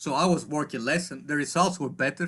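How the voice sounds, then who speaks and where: A man with a Greek accent at a fairly quick pace, against a quiet background. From Greece. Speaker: psychologist and coach. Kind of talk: interview. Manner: halting.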